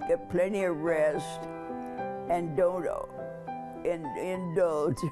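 A woman speaks with a fairly low pitch and lively intonation. Clear music plays in the background. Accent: American. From Oklahoma. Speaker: interviewee. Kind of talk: interview answer. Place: home room.

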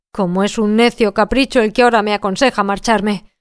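A woman speaks with an unremarkable speaking voice, fairly high in pitch, with fairly even intonation. The recording is very clean, with a silent background and a dry, close sound with no echo. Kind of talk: literary audiobook narration. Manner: measured, even-paced storyteller delivery; shifts tone to voice each character's dialogue.

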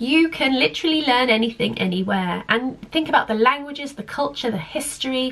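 A woman speaks with an English accent. Noticeable background noise is present. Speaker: home education vlogger. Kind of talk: casual talk to camera. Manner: hesitant with fillers.

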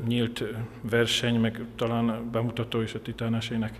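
This is a man speaking. His pace is moderate. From Hungary. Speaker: swandi coach. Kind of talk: interview statement about competition results. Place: gym. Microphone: handheld.

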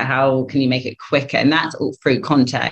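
A woman speaks with a southern English accent. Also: quiet background. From England. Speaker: recruitment firm co-founder. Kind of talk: interview. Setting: video call. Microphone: video call.

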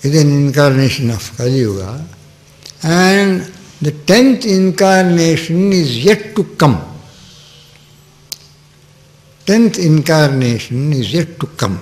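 Speaking at a very slow pace, a man leaves long, frequent pauses and makes very wide pitch swings. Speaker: spiritual teacher. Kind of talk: sermon. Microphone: podium.

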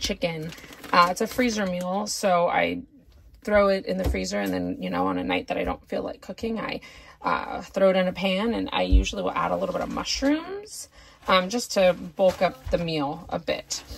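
A woman at medium pitch speaks at a moderate pace, her pitch swinging widely. Her tone is fairly bright, with vocal fry and a slightly husky edge.

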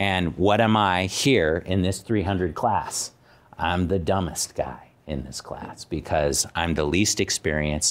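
Very deep and low, this man's voice carries an American accent and ordinary pitch variation. He speaks at a very slow pace. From Arizona, US Southwest. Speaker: university dean; guest. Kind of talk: personal talk to students; talk to a class, personal story. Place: classroom.

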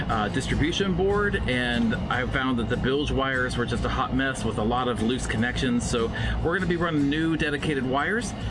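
Clear music plays in the background as a man speaks at a fairly quick pace. He leaves hardly any pauses. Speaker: boat owner vlogger. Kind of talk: casual vlog chat. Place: boat. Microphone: phone near.

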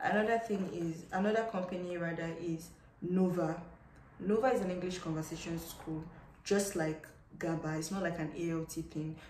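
Some light background noise and audible room echo surround a woman at a fairly low pitch. She keeps a moderate pace and fairly even intonation. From Nigeria. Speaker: English teacher and vlogger; English teacher, vlogger. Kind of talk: casual advice vlog. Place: home room. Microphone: phone near.

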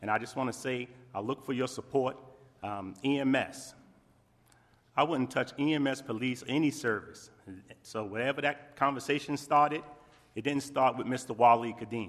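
Here a man speaks at a moderate pace and medium pitch. His intonation is fairly even, broken by long, frequent pauses. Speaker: town council member. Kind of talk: council meeting debate.

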